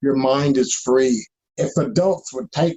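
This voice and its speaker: At a very slow pace, a man speaks with lively intonation. His pitch is fairly high. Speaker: activist, victim's relative. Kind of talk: interview.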